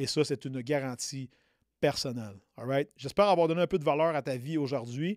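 This man has a Quebec accent, a fairly high pitch, ordinary pitch variation and a moderate pace. The recording is very clean with a silent background, and the sound is dry and close with no echo. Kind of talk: motivational pep talk. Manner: direct, punchy, urgent, hammering points with repeated 'OK?' and 'right?'.

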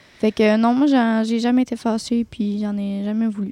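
Fairly quick, monotone speech from a woman with a dark, mellow tone and flat intonation, dry and close with no echo, on a very clean recording with a silent background. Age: 20s. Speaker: nail technician and esthetician. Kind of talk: testimony.

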